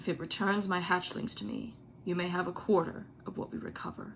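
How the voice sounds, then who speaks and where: A female-sounding put-on character voice at a middle pitch and a fairly quick pace, with clear background noise. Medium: read story. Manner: commanding, roaring.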